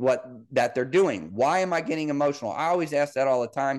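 A man with an American accent has a normal speaking voice and a fairly high pitch. He talks at a fairly quick pace with ordinary pitch variation against a quiet background. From Missouri, Kansas City area. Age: 30s. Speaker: football coach and podcast host. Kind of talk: solo sports analysis podcast.

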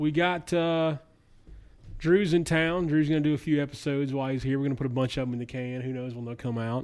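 A man with a Southern US accent at a very fast pace, fairly high in pitch, with fairly even intonation. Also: quiet background. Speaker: podcast host. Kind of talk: casual chat.

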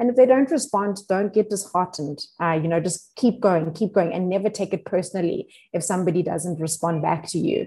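A woman's somewhat breathy, dark, mellow voice at medium pitch, fairly quick with hardly any pauses and ordinary pitch variation. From South Africa, Limpopo. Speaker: venture platform country manager. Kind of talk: interview.

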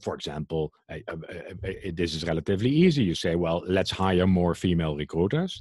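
This man has a very deep, low pitch. He speaks with a Dutch accent. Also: ordinary pitch variation, fairly quick pace. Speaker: HR trend institute director and speaker. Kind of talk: casual interview conversation. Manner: hesitant, many fillers, opinionated.

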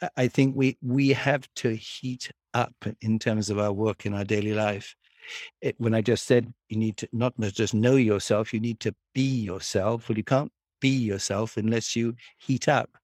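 This man has a plain, everyday voice at medium pitch, talking at a moderate pace with fairly even intonation. The sound is dry and close with no echo, and the recording is very clean with a silent background. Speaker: horse breeder and trainer. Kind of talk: interview conversation.

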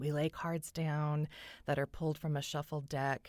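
This very clean recording with a silent background carries a voice with a Californian accent at a fairly slow pace. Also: woman. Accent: Californian American English. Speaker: tarot reader and podcaster. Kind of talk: solo podcast monologue.

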